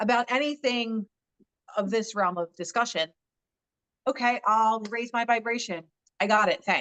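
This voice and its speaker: In a dry, close recording with no echo, a woman speaks at a moderate pace in a fairly high voice. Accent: Philadelphia. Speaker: social media influencer and author. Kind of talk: interview conversation. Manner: straightforward, direct.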